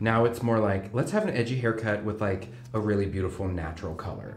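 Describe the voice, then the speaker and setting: The speaker has an American accent and moves at a fairly quick pace. There is audible room echo and light background noise. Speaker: hairstylist. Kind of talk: casual chat while working. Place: studio.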